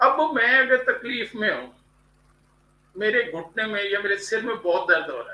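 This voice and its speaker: A man uses an extremely high pitch in a raised, projected voice. His loudness swings widely while his pitch varies in an ordinary way. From India. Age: 70s. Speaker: graphologist and motivational writer. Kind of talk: interview.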